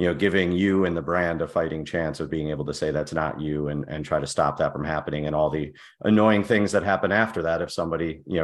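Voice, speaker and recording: A man with an American accent talks very fast with hardly any pauses, in a very deep, low voice with vocal fry. His pitch variation is ordinary. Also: quiet background. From US Midwest, South Side of Chicago. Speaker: tech company executive. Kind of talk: interview.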